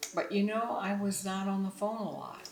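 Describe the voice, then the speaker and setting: Noticeable background noise and audible room echo fill the recording. A woman talks at a moderate speed. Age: 70s. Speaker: retired mother interviewed about parenting. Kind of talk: interview.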